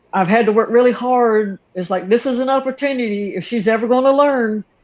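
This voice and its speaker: A woman with a Southern accent, fairly high in pitch, with ordinary pitch variation and a fairly quick pace. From North Carolina. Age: 60s. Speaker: aquarium hobbyist YouTuber. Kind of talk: casual interview chat.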